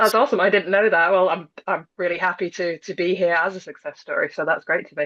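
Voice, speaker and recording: Talking at a very fast pace with hardly any pauses, a woman in a British accent uses a medium pitch with ordinary pitch variation. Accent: British, non-American. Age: 30s. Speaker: former insomnia client. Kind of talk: interview testimony.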